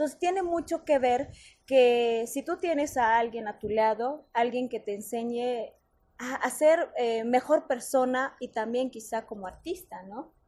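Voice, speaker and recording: Over a quiet background, a dark, mellow tone moves at a fairly slow pace. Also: woman, high pitch for a woman, ordinary pitch variation. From Mexico, Oaxaca, Mixe community. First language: Mixe (speaking Spanish). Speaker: soprano singer. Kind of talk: interview.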